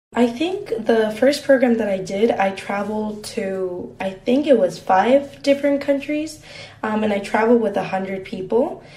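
Over noticeable background noise, a woman with a fairly high voice talks at a moderate pace with lively intonation. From Mexico. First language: Spanish. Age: 20s. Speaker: university student. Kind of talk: interview.

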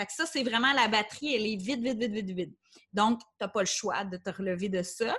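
A woman has a normal speaking voice with a fairly high pitch. She keeps a moderate pace and ordinary pitch variation. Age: 30s. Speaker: life coach. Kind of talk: interview.

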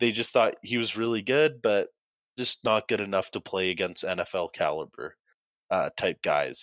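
In a normal speaking voice, a man talks at a moderate pace and medium pitch with ordinary pitch variation, the sound dry and close with no echo over a quiet background. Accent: Canadian. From Canada, Calgary. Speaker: university football player. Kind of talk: casual chat.

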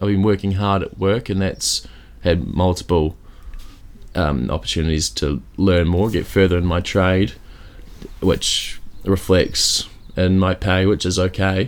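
In a New Zealand accent, a man with a very deep, low pitch speaks in a deadpan tone at a fairly slow pace, with fairly even intonation and long, frequent pauses. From Christchurch, New Zealand. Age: 20s. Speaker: comedian and kitchen maker. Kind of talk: casual chat. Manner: joking, deadpan.

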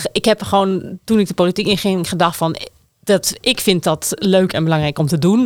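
A woman talks at a moderate pace in an ordinary speaking voice with ordinary pitch variation. The recording is very clean, with a silent background. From Netherlands, Groningen province (small village). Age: 40s. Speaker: city councillor, former urban planner. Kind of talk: political discussion.

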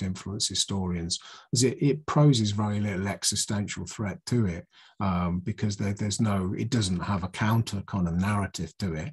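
Against a quiet background, a man with a fairly low pitch talks at a moderate pace, somewhat breathy, with ordinary pitch variation. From southern England, Oxfordshire. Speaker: political speaker, writer. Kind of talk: lecture. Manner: halting, many fillers and repetitions.

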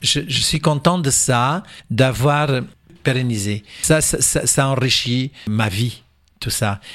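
The man's voice sits at a medium pitch as he talks very slowly. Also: ordinary pitch variation. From Portugal and Angola. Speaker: cabaret performer. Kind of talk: radio interview. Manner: halting.

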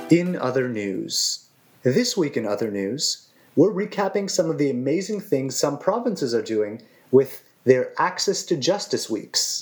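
The speech is fairly slow and carries vocal fry. Pitch swings very widely. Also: man, fairly high pitch for a man. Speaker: news segment reader. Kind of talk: news reading.

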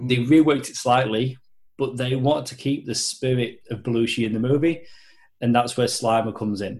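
Somewhat breathy, this man's voice sits at a medium pitch. He keeps a moderate pace and fairly even intonation. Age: 30s. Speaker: film fan guest. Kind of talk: casual chat.

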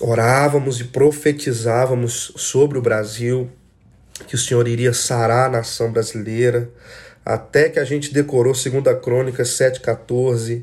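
A man with a Brazilian accent speaks fairly slowly at a medium pitch, somewhat breathy, with monotone, flat intonation. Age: 30s. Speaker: worship leader. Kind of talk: solo podcast monologue. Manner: casual.

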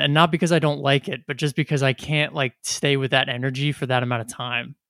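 Recorded very cleanly with a silent background and a dry, close sound with no echo, a man speaks at a fairly quick pace. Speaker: podcast co-host. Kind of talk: casual chat.

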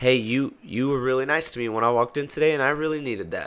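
Medium-pitched male voice with ordinary pitch variation. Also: very clean recording, silent background. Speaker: swim coach and podcast host. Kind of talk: solo podcast monologue. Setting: home recording at night. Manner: projects his voice.

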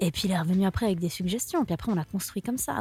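A woman talks at a very fast pace with lively intonation. Her voice is somewhat breathy. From Switzerland, Lausanne. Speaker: singer-songwriter. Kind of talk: radio interview.

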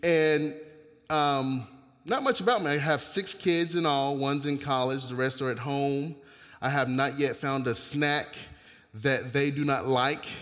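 This man has an unremarkable speaking voice, fairly high in pitch, delivered at a fairly slow pace. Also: fairly even intonation. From US South, North Carolina. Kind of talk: sermon. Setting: church with congregation.

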